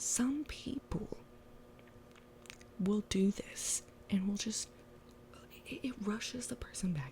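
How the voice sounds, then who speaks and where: Somewhat breathy and dark, mellow in tone, the voice moves at a very slow pace with long, frequent pauses and very wide pitch swings. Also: woman, medium pitch for a woman. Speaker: ASMR creator. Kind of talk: casual talk to camera. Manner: conversational, ranting, casual.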